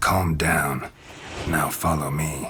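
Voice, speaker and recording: A man's put-on character voice, raspy and very deep, with clear background noise. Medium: short film. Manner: terse, dry.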